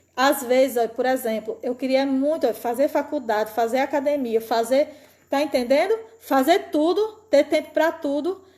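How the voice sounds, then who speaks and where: At a moderate pace, a high-pitched woman speaks in a dark, mellow tone with ordinary pitch variation. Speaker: preacher. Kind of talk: sermon. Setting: online church service. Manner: animated.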